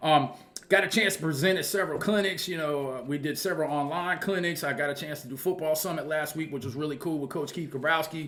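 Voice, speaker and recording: Over audible room echo, a man talks at a very fast pace in a bright, sharp tone. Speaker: football coach and channel host. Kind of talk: casual monologue to viewers.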